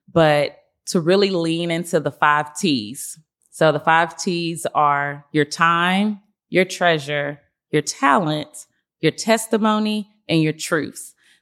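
Very slowly, a woman with an American accent speaks at a fairly low pitch with ordinary pitch variation. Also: very clean recording, silent background. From US South, Nashville, Tennessee. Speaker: nonprofit foundation executive director. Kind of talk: podcast interview.

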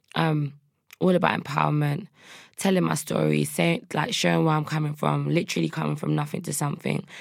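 A woman speaks with a South London accent. Her pace is fairly quick. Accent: South London, Multicultural London English. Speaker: rapper. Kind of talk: casual interview. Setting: studio.

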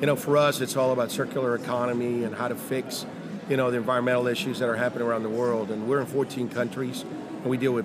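Through noticeable background noise, a man at a medium pitch speaks very fast in monotone, flat intonation. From Mexico City. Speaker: company founder and CEO. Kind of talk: interview.

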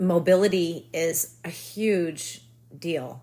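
Ordinary pitch variation runs through an unremarkable speaking voice. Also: woman. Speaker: author, mother. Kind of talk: casual interview.

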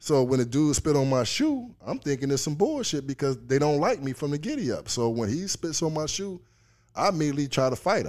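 A man with a fairly high pitch and ordinary pitch variation speaks at a fairly quick pace. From Chicago South Side. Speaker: former pro baseball player and author. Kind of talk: casual interview chat.

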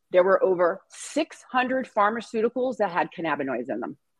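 A woman's very wide pitch swings come with vocal fry in a dry, close recording with no echo. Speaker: cannabis nurse. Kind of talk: interview. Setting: video call.

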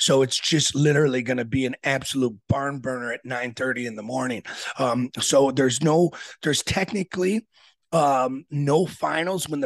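A man talks at a moderate pace in a plain, everyday voice, fairly high for a man. His intonation is fairly even, and the sound is dry and close with no echo. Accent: American. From Aurora, Illinois (US Midwest). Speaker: wrestling coach and event organizer. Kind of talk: casual interview.

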